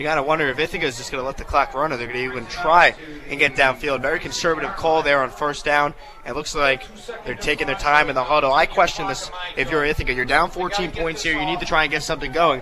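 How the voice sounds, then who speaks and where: A man speaks at a very fast pace with fairly even intonation and a fairly high pitch. Noticeable background noise runs underneath. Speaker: radio football color commentator. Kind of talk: sports analysis commentary.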